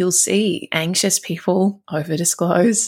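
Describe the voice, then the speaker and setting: A woman's fairly low-pitched voice carries vocal fry. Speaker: relationship coach podcast host. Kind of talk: advice podcast monologue.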